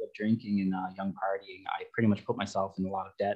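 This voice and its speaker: A man with a Canadian accent. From western Canada (Calgary, Alberta). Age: 20s. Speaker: recovering alcoholic sharing his story. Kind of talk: personal testimony in radio interview. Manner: hesitant, many fillers.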